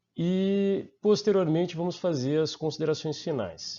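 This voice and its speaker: Here a man speaks with a Brazilian accent. His pace is fairly slow. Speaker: master's student and researcher. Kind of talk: conference presentation. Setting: online conference. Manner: hesitant, many fillers.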